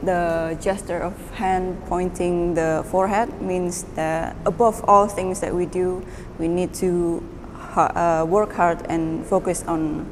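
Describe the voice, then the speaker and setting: The speech comes at a fairly slow pace with monotone, flat intonation, audible room echo and noticeable background noise. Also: woman. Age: 20s. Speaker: painter, university student. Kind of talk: artist talk about own work.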